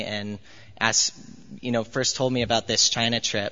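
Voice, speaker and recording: A man's medium-pitched, monotone and flat voice with a General American accent. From US. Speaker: university student. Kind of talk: testimony. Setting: church.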